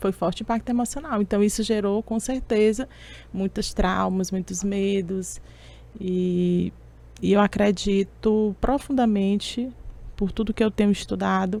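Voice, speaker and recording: With a dark, mellow tone, a woman speaks at a medium pitch and with fairly even intonation. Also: fairly slow pace. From Brazil, Teresina (Piauí). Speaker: public speaking mentor and coach. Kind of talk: interview.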